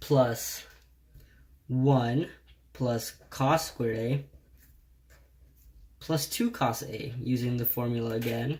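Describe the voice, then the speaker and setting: A man's somewhat breathy voice with flat, monotone intonation. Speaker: math tutor. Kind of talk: tutorial. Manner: slow.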